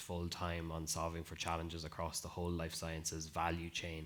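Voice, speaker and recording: A man talks at a fairly quick pace in a very deep, low pitch. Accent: Irish. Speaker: life sciences innovation lead, panelist. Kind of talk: panel discussion.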